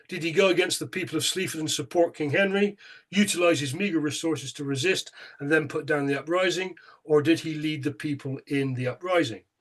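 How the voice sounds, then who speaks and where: A fairly high-pitched man with a Bristolian accent, ordinary pitch variation and a fairly quick pace. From England, Bristol. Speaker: local museum chair, history speaker. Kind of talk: lecture. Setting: online talk. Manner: hesitant, with fillers.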